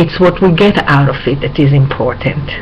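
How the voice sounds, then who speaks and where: Noticeable background noise behind a woman's fairly slow speech. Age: 60s. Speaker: video blogger. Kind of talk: personal health vlog. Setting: webcam recording at home. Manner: halting, with many fillers.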